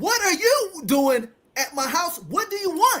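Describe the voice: A woman puts on a character voice at an extremely high pitch. She speaks at a fairly slow pace.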